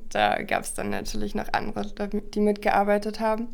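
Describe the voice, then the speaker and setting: A woman speaks at a moderate pace. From Berlin, Germany. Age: 20s. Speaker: student sailor. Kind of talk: casual interview. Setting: studio, in person.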